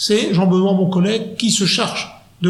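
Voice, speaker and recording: At a moderate pace and with fairly even intonation, the voice carries audible room echo. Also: man. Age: 40s. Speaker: funeral advisor. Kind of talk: interview.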